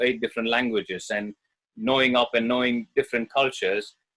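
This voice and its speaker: Recorded with a dry, close sound and no echo, a man of medium pitch talks at a fairly quick pace with ordinary pitch variation. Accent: Tamil. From India, Bangalore. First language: Tamil. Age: 30s. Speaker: Indian clubs practitioner. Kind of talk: interview.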